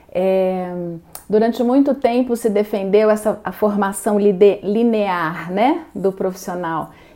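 The woman speaks at a very slow pace. Her pitch sits in the medium range. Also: ordinary pitch variation. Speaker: interviewer. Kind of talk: interview.

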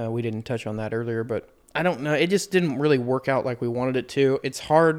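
Speaking at a fairly quick pace, a man has an unremarkable speaking voice of medium pitch with ordinary pitch variation. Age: 20s. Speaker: podcast host. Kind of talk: casual chat.

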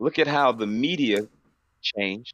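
A man's voice with vocal fry at a fairly slow pace, against a quiet background. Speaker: podcast co-host. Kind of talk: casual chat.

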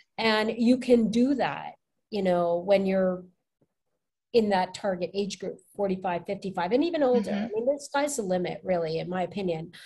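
A woman's somewhat breathy voice has a dark, mellow tone on a very clean recording with a silent background. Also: medium pitch for a woman, ordinary pitch variation, moderate pace. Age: 40s. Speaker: life coach. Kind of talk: casual chat.

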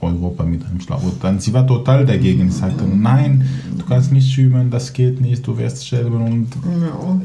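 Over noticeable background noise and audible room echo, a man speaks at a moderate pace in a medium pitch with ordinary pitch variation. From Syria, Aleppo. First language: Kurdish and Arabic (speaking German). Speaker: Syrian refugee, law graduate. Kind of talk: casual chat. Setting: at home over coffee and cake.

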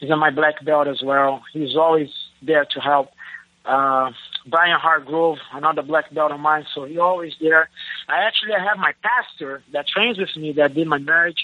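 A man with a Brazilian accent speaks at a fairly high pitch. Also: ordinary pitch variation, moderate pace. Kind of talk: interview.

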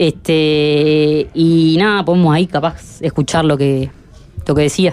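A woman's very deep, low voice with fairly even intonation at a fairly slow pace. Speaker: radio reporter. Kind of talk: field report.

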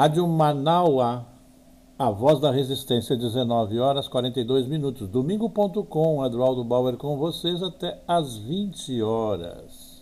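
A man's lively intonation at a very slow pace. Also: medium pitch for a man. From southern Brazil, Porto Alegre. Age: 70s. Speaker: radio host and journalist. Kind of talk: radio talk show.

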